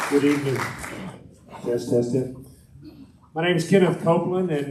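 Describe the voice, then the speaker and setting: A man speaks at a fairly high pitch with ordinary pitch variation. The room echo is audible and there is noticeable background noise. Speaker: political candidate. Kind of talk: campaign speech.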